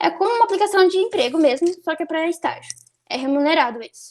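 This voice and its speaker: Her intonation is lively as this woman speaks. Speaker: nursing student. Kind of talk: online talk / presentation. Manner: halting, many fillers and restarts.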